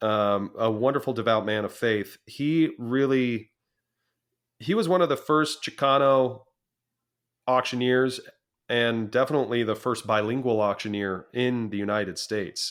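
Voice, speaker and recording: This is a man with an ordinary speaking voice at medium pitch. His pace is moderate, his pitch variation ordinary, and the recording very clean with a silent background. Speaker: auctioneer and business founder. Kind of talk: interview answer.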